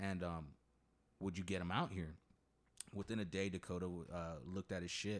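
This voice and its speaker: A man's very deep, low voice with an American accent, at a moderate pace with long, frequent pauses and fairly even intonation. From Coachella Valley, California. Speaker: podcast host. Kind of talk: casual chat.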